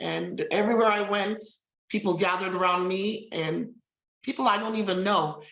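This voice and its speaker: Audible room echo carries a woman's voice, her intonation fairly even. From Armenian heritage. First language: Armenian. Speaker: novelist. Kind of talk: interview. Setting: live stream. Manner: halting.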